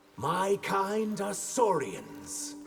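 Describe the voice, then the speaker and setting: Over clear background music, a man puts on a high-pitched character voice. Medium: short film.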